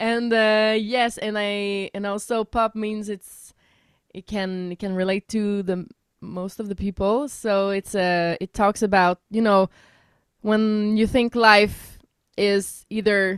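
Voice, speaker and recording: In a French Canadian accent, a woman at a medium pitch speaks fairly slowly with monotone, flat intonation, her voice dry and close with no echo on a very clean recording against a silent background. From Quebec. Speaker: singer-songwriter. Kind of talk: radio interview.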